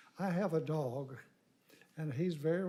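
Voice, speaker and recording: A man's fairly high voice has a dark, mellow tone and ordinary pitch variation. He speaks at a fairly slow pace, with audible room echo. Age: 80s+. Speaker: local resident giving public comment. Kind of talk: public comment at council meeting. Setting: city council chamber.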